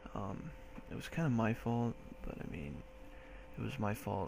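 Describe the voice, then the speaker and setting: A soft-spoken man talks at a moderate pace in a fairly low pitch. Noticeable background noise is present. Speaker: military recruit. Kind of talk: casual talk to camera.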